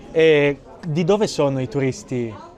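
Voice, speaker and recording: With music in the background, a man's fairly high voice shows ordinary pitch variation. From Italy. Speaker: Italian teacher, vlogger. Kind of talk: travel vlog narration and street interview.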